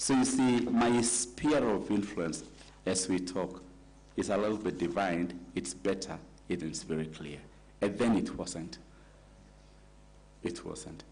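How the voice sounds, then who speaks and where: A man with an African accent speaks at a very deep, low pitch with vocal fry and lively intonation. His pace is fairly slow, with long, frequent pauses and audible room echo. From Kenya. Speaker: nominee for county office, lawyer. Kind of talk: vetting interview. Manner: formal.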